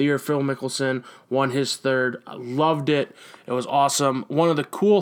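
A man with an unremarkable speaking voice talks at a medium pitch and a moderate pace with fairly even intonation, on a very clean recording with a silent background. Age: 20s. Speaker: sports podcast host. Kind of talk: casual sports talk monologue.

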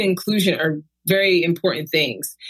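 Her breathing is somewhat audible in her voice. The woman talks at a moderate pace. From Brooklyn, New York. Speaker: university diversity administrator. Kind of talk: casual interview.

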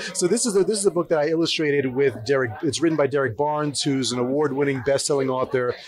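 A man speaks at a very fast pace in a fairly high pitch, with ordinary pitch variation. His loudness stays very even over noticeable background noise. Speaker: comics artist and author. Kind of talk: interview. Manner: casual.

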